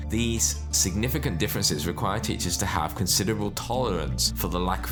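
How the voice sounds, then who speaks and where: Music plays in the background as a man speaks. His pitch is very deep and low, with very wide swings. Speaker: educator, private school founder. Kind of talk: educational explainer talk.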